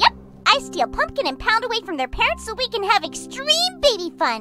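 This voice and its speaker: A female-sounding cartoonish character voice at an extremely high pitch, moderate pace, with clear music in the background. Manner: excited, bubbly.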